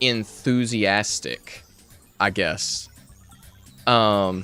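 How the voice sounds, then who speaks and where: With music in the background, a man talks with a slight Southern US accent. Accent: light Southern US country. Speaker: YouTube creator.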